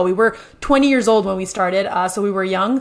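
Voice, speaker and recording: In a French Canadian accent, a woman speaks very fast at medium pitch with ordinary pitch variation. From French Canada. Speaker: real estate investor and builder. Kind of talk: podcast interview.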